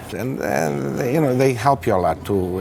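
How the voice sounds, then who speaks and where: A man with a Greek accent, a fairly low pitch, a moderate pace, and noticeable background noise. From Greece, raised in Toronto from age nine. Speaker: restaurant owner. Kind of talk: interview. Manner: halting, many fillers.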